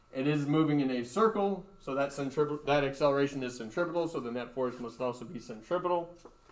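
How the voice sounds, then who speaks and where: Audible room echo surrounds a man talking at a very fast pace. His pitch is fairly high, with ordinary pitch variation. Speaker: high school physics teacher. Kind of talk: lecture.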